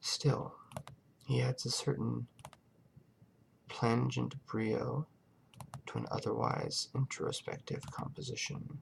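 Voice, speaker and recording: A soft-spoken man's very slow speech, with long, frequent pauses and noticeable background noise. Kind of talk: audiobook-style narration of a story.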